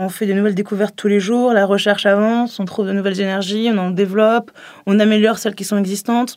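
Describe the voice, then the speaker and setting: A woman with an ordinary speaking voice talks at a fairly quick pace. Her pitch is medium and her intonation fairly even. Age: 20s. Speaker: MBA student. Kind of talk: testimony.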